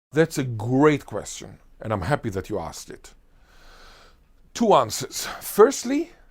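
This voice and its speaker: A man with a fairly high pitch and vocal fry talks in an animated tone, his pitch swinging very widely and his loudness rising and falling sharply, with long, frequent pauses on a very clean recording against a silent background. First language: Hebrew (Israeli). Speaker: linguist. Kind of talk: interview.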